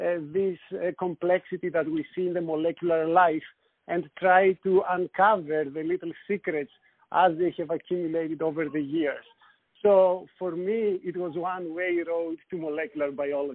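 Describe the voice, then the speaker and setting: Speaking at a moderate pace with fairly even intonation, a man with a Greek accent has a high pitch. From Greece, Thessaloniki. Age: 40s. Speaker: scientist. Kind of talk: interview.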